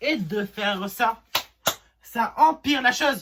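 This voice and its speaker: This man's pitch is extremely high. His intonation is lively. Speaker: DIY YouTuber. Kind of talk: casual vlog commentary while building.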